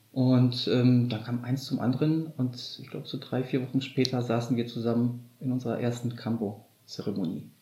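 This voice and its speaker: A man talks at medium pitch in a dark, mellow tone that is somewhat breathy. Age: 30s. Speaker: kambo ceremony practitioner. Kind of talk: interview.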